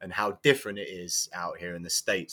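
A man with an English accent, very deep and low in pitch, bright and sharp in tone, at a fairly quick pace on a very clean recording with a silent background. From England. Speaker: football coach. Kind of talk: casual chat.

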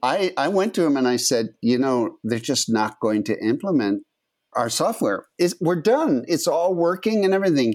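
Keeping very even loudness, a man with a fairly high pitch speaks at a moderate pace with very wide pitch swings. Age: 70s. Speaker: computer scientist and statistician. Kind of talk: interview. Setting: video call.

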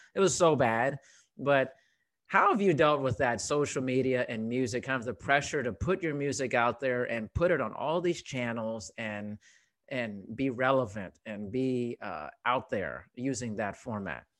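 This man has a normal speaking voice at medium pitch, with lively intonation. He talks at a fairly slow pace. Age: 40s. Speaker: podcast host. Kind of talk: interview. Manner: casual.

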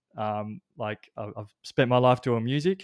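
Over a silent background in a very clean recording, a man speaks with an Australian accent. His medium pitch has ordinary variation, and the sound is dry and close with no echo. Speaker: brain coach. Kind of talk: casual chat.

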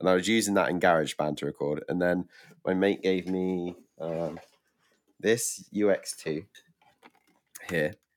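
With a British accent, a man of very deep, low pitch speaks at a fairly slow pace, with fairly even intonation and long, frequent pauses. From UK. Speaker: musician. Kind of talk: casual chat. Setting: video call.

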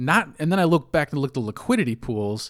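With lively intonation and a medium pitch, a man with an unremarkable speaking voice talks on a very clean recording over a silent background. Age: 40s. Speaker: crypto podcaster, bartender. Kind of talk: casual monologue. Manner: conversational with many fillers.

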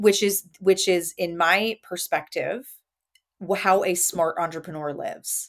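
A woman with an American accent speaks fairly slowly at a medium pitch, her intonation fairly even. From southeastern Pennsylvania. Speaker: podcast host, therapist. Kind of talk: interview.

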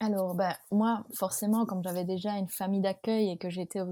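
Her tone dark and mellow, a woman speaks at a moderate pace and medium pitch with fairly even intonation, on a very clean recording with a silent background. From Belgium. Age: 20s. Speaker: former exchange student. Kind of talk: casual interview.

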